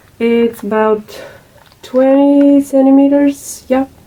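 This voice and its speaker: A woman with a non-native accent speaks at a very slow pace. Her intonation is fairly even, and there is noticeable background noise. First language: not English. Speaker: crafts video maker. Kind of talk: tutorial. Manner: halting, many fillers.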